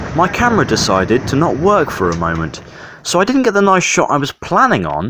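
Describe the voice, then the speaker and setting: With a West Country accent, a man speaks in very wide pitch swings. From Devon, England. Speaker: railway enthusiast vlogger. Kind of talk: narrated travel vlog voiceover.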